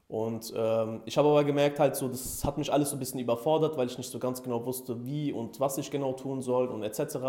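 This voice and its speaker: Medium in pitch, a man talks at a fairly quick pace with fairly even intonation and hardly any pauses. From Germany, near Frankfurt (Hesse). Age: 20s. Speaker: e-commerce entrepreneur, coaching client. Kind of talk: interview testimonial. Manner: hesitant, many fillers.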